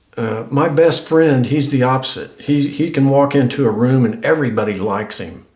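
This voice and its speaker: A man with an American accent speaks at a fairly slow pace, with audible room echo. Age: 60s. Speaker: YouTuber. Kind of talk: casual vlog talk to camera. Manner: halting, many repeats and fillers.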